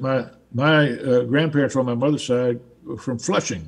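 Speaking with a Southern US accent, a man keeps a medium pitch and a moderate pace. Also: fairly even intonation.

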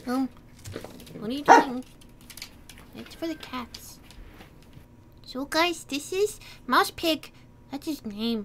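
Using a cartoonish character voice, a woman talks at a high pitch and a fairly slow pace, with long, frequent pauses and clear background noise.

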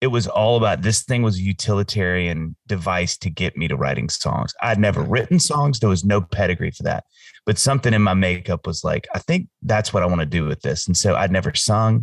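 With an American accent, a man talks at a fairly quick pace in a normal speaking voice, fairly low in pitch, with lively intonation and hardly any pauses. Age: 40s. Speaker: singer-songwriter. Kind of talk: casual chat.

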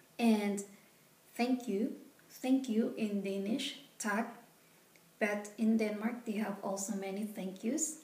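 A woman talks at a very slow pace with a fairly high pitch. Her intonation is fairly even, and room echo is audible. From Philippines. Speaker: vlogger. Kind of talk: tutorial. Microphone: phone near.

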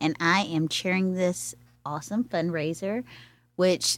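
A woman with a plain, everyday voice speaks fairly slowly at a fairly low pitch, with ordinary pitch variation. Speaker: arts event organizer. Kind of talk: casual chat. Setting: studio.

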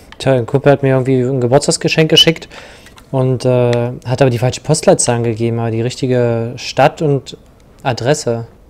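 Noticeable background noise sits behind a man speaking at a moderate pace, his medium pitch held in fairly even intonation. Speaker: video game player. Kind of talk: casual chat while gaming co-op. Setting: online voice chat while playing.

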